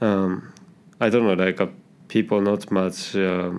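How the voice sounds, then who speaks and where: A man with a very deep, low pitch, a Japanese accent, monotone, flat intonation and a moderate pace. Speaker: IT worker. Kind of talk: interview. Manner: halting.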